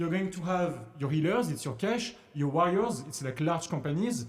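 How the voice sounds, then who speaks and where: A man's high voice with a French accent, lively intonation and a moderate pace, amid noticeable background noise and audible room echo. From France, Paris. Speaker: investing educator, former trader. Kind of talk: casual tutorial. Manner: halting, repetitive.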